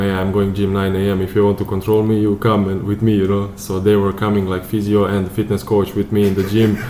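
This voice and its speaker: A man with a Serbian accent, fairly low in pitch and monotone, flat in intonation, talking at a fairly quick pace with hardly any pauses over noticeable background noise. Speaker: professional footballer. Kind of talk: casual interview. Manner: halting.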